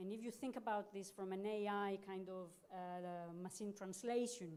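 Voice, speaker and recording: At a moderate pace, a woman speaks at medium pitch against noticeable background noise. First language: not English. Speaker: journal editor, academic. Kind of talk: panel discussion.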